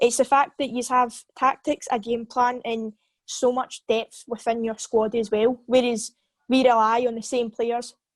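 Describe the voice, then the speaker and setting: Speaking at a fairly slow pace with a Scottish accent, a woman holds a flat monotone at a high pitch, recorded dry and close with no echo over a quiet background. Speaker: football podcast co-host, fan. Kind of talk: casual chat.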